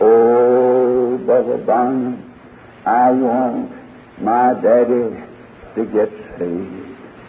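Noticeable background noise sits under this recording. A man talks with an American accent. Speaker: preacher. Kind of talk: sermon. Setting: church.

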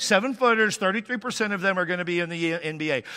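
In a very clean recording with a silent background, a man with an American accent speaks in a raised, projected voice, high-pitched with a bright, sharp tone and ordinary pitch variation. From Washington State, US. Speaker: pastor. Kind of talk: sermon. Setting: church.

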